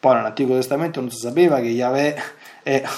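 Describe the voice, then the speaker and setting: Audible room echo and noticeable background noise surround a man speaking at medium pitch with ordinary pitch variation. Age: 40s. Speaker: priest and radio catechist. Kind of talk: lecture. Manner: halting.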